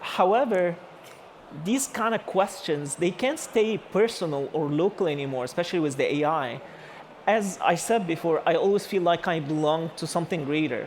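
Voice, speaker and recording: A man talks at a moderate pace in a high voice with lively intonation. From Egypt. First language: Arabic. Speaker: architect and AI artist giving a talk. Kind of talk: conference talk. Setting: stage with audience. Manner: halting, many fillers.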